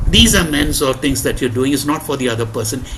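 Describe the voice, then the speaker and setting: Noticeable background noise can be heard. The pace of speech is fairly quick. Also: man. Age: 60s. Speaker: recovering alcoholic speaker at support meeting. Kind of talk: testimony.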